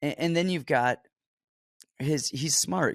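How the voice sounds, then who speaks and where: A man talks in an ordinary speaking voice with lively intonation at a moderate pace. The recording is very clean, with a silent background. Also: dry, close sound with no echo. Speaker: MMA fight analyst. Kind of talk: casual sports betting breakdown.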